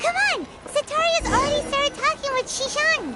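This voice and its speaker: A squeaky, cartoonish character voice at an extremely high pitch. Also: moderate pace. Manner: energetic, chatty.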